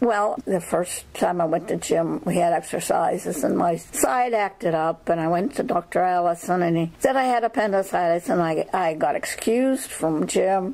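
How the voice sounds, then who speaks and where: Noticeable background noise runs under a woman talking with an American accent. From western Pennsylvania, Armstrong County. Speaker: oral history narrator. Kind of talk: oral history interview. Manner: halting.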